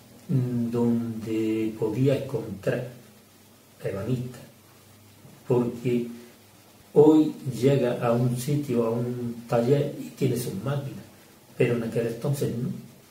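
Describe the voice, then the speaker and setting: A man with an Andalusian accent speaks at a very slow pace and medium pitch, his intonation monotone and flat, with long, frequent pauses. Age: 70s. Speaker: retired carpenter and cabinetmaker. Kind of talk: interview answer.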